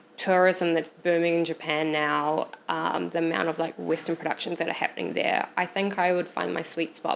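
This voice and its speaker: With a New Zealand accent, a woman speaks at a fairly low pitch. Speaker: photographer. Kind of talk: casual chat.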